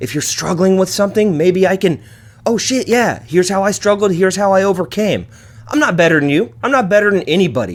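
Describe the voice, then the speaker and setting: Over noticeable background noise, the speaker talks very fast in an animated tone with lively intonation. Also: man, high pitch for a man. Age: 30s. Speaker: podcast host. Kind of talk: casual monologue.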